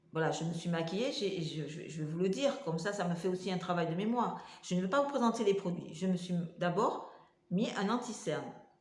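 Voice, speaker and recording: With lively intonation, a woman talks at a fairly quick pace and medium pitch. Noticeable background noise and audible room echo fill the recording. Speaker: vlogger with multiple sclerosis. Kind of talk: casual vlog talk to camera. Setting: home kitchen. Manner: halting, many hesitations.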